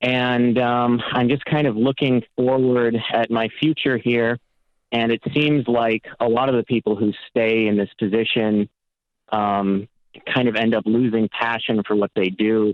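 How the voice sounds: Recorded with a dry, close sound and no echo, a man talks at a fairly slow pace and medium pitch with fairly even intonation.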